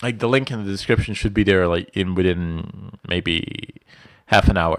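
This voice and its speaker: Speaking in a Bosnian accent, a man has a very deep, low pitch. He keeps a moderate pace against a quiet background. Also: ordinary pitch variation. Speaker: IT instructor. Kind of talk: live stream Q&A. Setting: live stream from home.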